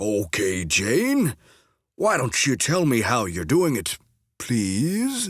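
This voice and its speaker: In a very clean recording with a silent background, a man puts on a character voice at medium pitch, speaking very slowly with very wide pitch swings. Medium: read story.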